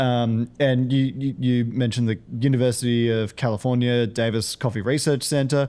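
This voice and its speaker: On a very clean recording with a silent background, a man with an Australian accent speaks at a moderate pace in a medium pitch. His loudness stays very even, his intonation fairly even, and he hardly pauses at all. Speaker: podcast host. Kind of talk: interview podcast.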